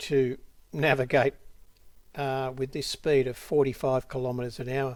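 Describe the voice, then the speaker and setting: With an Australian accent, this speaker's words come out at a fairly slow pace. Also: man. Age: 70s. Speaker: drone hobbyist vlogger. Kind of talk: narrated video commentary. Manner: casual, with frequent fillers.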